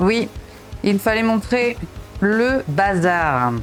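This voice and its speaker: Music runs in the background as a woman talks. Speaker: mother of three, self-development and home-reset content creator. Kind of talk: casual talk to camera, motivational vlog. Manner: direct, friendly, addressing viewer as 'tu'.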